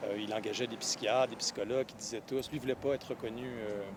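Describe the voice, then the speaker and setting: Speaking very fast, a man holds a medium pitch and fairly even intonation. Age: 40s. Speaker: professor and novelist. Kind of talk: interview. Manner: halting, many hesitations.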